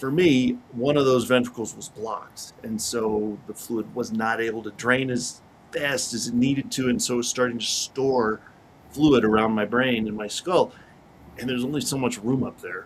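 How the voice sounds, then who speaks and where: Fairly even intonation marks this man's medium-pitched voice. He keeps a moderate pace. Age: 40s. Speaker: motivational speaker and author. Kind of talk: interview. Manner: hesitant fillers.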